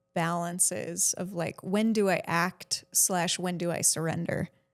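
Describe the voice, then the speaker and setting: Fairly even intonation in a normal speaking voice. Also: woman. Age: 40s. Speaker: podcast host. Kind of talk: casual chat.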